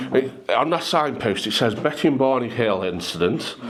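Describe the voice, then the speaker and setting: A man speaks at a fairly slow pace with lively intonation. Noticeable background noise sits behind his voice. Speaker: hypnotist, public speaker. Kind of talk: casual talk to a pub audience.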